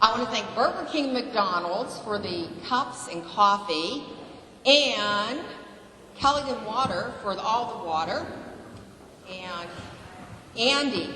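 With noticeable background noise and audible room echo, a woman of fairly high pitch speaks very slowly with long, frequent pauses, lively intonation and big swings in loudness. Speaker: community group organizer. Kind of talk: public speech at town meeting.

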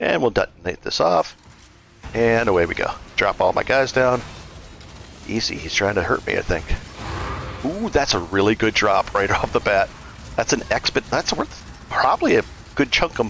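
A man's speech at a moderate pace, with long, frequent pauses and music in the background. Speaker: gaming video creator. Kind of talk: tutorial. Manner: halting, with many filler words.

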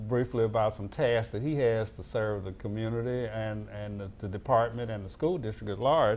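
With an Alabama accent, a man keeps a moderate pace and fairly even intonation. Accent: US Southern (Alabama). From Mobile, Alabama. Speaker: school resource officer and show host. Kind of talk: interview talk show. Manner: formal. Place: studio. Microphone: lapel.

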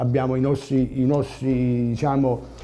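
The man's voice has a dark, mellow tone. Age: 50s. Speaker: mayoral candidate, musician; candidate. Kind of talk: political interview. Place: studio. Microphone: lapel.

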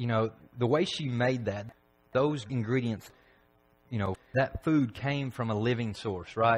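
A man with a Tennessee accent talks at a moderate pace in a somewhat breathy voice with ordinary pitch variation. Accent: Southern US (Tennessee). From Tennessee, McMinnville. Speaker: preacher. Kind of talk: sermon. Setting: church. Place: church.

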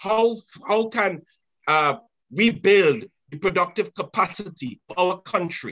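Over a quiet background, a man with a high, bright, sharp voice speaks at a moderate pace with lively intonation. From Trinidad and Tobago. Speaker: trade union leader; panelist. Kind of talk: panel discussion. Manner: impassioned. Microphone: webcam.

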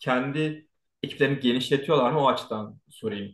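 A man's fairly high voice with ordinary pitch variation, in audible room echo. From Turkey. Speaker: YouTube channel host; host interviewer. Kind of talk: casual interview. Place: home room. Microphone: earbuds.

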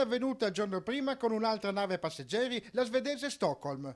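On a very clean recording with a silent background, a man with a high pitch talks at a fairly quick pace with lively intonation. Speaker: TV news reporter. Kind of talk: TV news narration.

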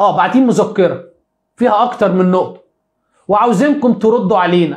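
Against a quiet background, a man with a Cairo accent speaks at a moderate pace in a high, animated voice with lively intonation. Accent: Egyptian Arabic (Cairene). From Egypt. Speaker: sports YouTuber, football commentator; sports news commentator. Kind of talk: live stream monologue on football news; commentary. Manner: animated, repetitive emphasis. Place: home room. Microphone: lapel.

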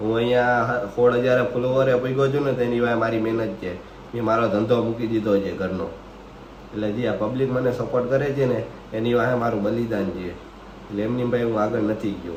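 Through noticeable background noise and audible room echo, a man speaks at a medium pitch with fairly even intonation. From Gujarat, India (Saurashtra). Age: young. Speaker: vlogger, pigeon keeper. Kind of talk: casual Q&A vlog.

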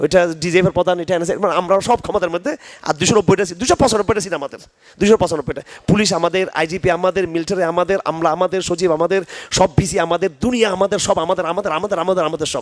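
The delivery has an animated tone. The sound is dry and close with no echo, though background noise is noticeable. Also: man, high pitch for a man. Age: 50s. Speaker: Islamic scholar. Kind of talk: religious lecture with Q&A.

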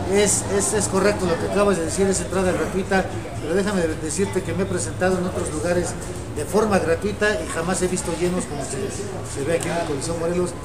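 A man talking at a very fast pace over loud background noise. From Mexico City. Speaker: masked wrestler and arena promoter. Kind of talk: interview. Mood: confident, respectful challenge talk. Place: studio.

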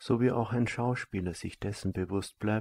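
A man speaks in a calm, soothing tone that is somewhat breathy. His pitch is fairly low, his intonation fairly even, and his pace fairly slow. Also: dry, close sound with no echo. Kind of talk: guided meditation. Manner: slow, calm and soft-spoken, with a measured, soothing delivery; formal, elevated and abstract wording, almost lecture-like.

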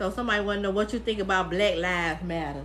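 A woman at a fast pace and medium pitch, with ordinary pitch variation

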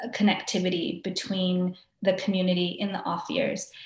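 Somewhat breathy, a woman speaks against a quiet background with audible room echo. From Hawaii (Maui); Hawaii. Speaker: arts organization director. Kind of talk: interview. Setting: video call. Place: home room. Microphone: webcam.

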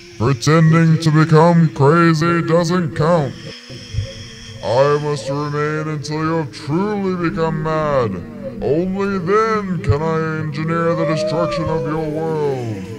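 A man does a put-on character voice at a fairly high pitch. He talks at a fairly slow pace over clear background noise. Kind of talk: comic grandiose villain. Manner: pompous, menacing, theatrical.

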